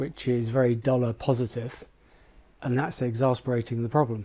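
A man with a British accent and a dark, mellow tone. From UK. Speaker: currency trader. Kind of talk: roundtable discussion. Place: shop.

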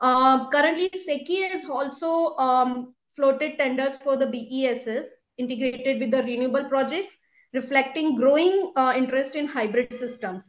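A woman speaks with a high pitch at a moderate pace. Audible room echo surrounds her. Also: ordinary pitch variation. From India. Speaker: government energy policy official; presenter. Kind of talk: webinar presentation. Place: office. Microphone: video call.

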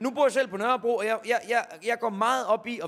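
Delivered at a fairly quick pace, the speech has ordinary pitch variation. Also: man. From Jutland, Denmark (Horsens area); Denmark. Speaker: comedian. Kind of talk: stand-up. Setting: stage with audience. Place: stage. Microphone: handheld.

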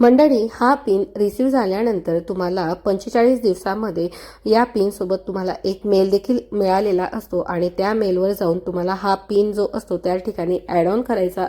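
Speaking with a medium pitch, a woman has a dark, mellow tone and fairly even intonation. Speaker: gardening YouTuber. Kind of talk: tutorial.

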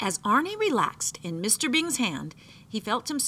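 Natural voice, reading

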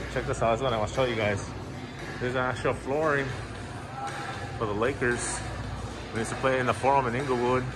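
Over clear music in the background, a man speaks at a very fast pace. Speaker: travel vlogger. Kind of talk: casual vlog chat. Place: shop. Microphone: phone near.

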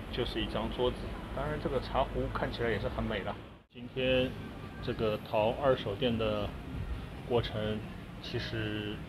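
Amid noticeable background noise, a man speaks at a moderate pace with long, frequent pauses. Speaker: shopper vlogger. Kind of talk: casual vlog chat. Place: shop. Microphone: phone near.

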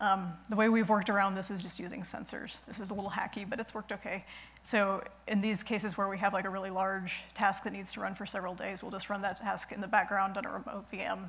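Talking at a very fast pace, a woman keeps her intonation monotone and flat. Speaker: conference presenter. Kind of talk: technical conference talk. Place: stage.

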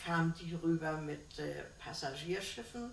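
A woman's fairly low voice at a fairly slow pace, with audible room echo and light background noise. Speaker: contemporary witness, former shipping secretary. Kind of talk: interview answer. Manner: lively. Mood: cheerful, smiling reminiscence. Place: home room. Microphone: camera far.

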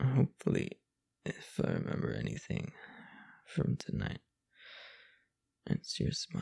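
A put-on character voice, dark and mellow in tone with a husky, rough edge and vocal fry, at a fairly slow pace with very wide pitch swings. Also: man, extremely low pitch for a man.

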